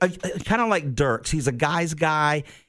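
A man with a Southern US accent, fairly high in pitch, at a moderate pace. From Georgia, US South. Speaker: radio host. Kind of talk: casual chat.

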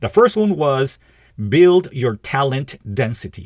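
On a very clean recording with a silent background, a somewhat breathy man at a medium pitch talks at a fairly slow pace with very wide pitch swings. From Peru. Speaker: podcast host, leadership coach. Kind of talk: solo scripted podcast monologue.

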